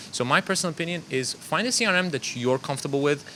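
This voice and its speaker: A man speaks with ordinary pitch variation. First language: not English; English is third language. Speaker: marketing agency founder. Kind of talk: casual panel discussion. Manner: conversational, filler-heavy.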